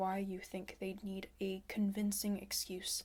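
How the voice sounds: Natural voice, as in reading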